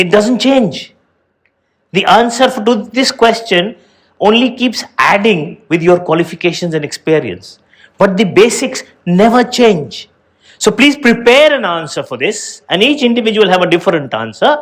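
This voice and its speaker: The speaker keeps a moderate pace and lively intonation. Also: man, high pitch for a man. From India. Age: 60s. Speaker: educator and motivational show host. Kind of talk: motivational talk to students.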